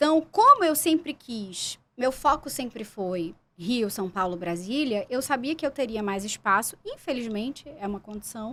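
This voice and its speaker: A woman talks at a fairly slow pace with hardly any pauses, her fairly high voice carrying lively intonation and big swings in loudness. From Pernambuco, Brazil. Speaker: actress and journalist. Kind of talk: podcast interview.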